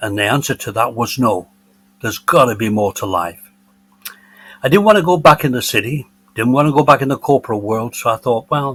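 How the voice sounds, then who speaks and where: With an English accent, a man speaks at a medium pitch and a fairly quick pace. His intonation is lively, broken by long, frequent pauses. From northern England, Bolton, Lancashire. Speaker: retiree and former business executive. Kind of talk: podcast interview, personal storytelling.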